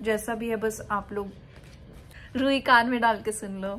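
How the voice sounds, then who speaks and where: This woman has a non-native accent. Her intonation stays fairly even. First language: not Hindi (speaking Hindi). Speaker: vlogger. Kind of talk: casual chat.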